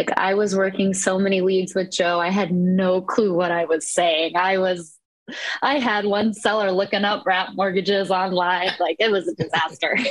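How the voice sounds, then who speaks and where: Her voice is an unremarkable speaking voice, set at a medium pitch with fairly even intonation. The woman talks at a moderate pace with very even loudness. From Eastern Iowa, US Midwest. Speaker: real estate investor. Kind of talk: casual interview.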